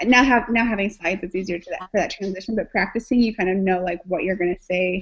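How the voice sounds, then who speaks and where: Very fast speech from a woman, her pitch variation ordinary. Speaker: student. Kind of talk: online group meeting.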